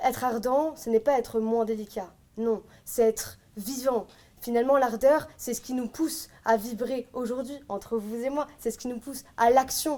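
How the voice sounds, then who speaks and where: Loud and dark, mellow in tone, a woman speaks at a high pitch with fairly even intonation and a fairly slow pace. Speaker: eloquence contest candidate. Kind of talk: competition speech.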